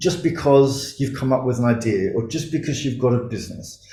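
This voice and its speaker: An Australian accent marks this man's somewhat breathy, medium-pitched voice, which has ordinary pitch variation and audible room echo. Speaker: startup mentor and investor. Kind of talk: conference talk.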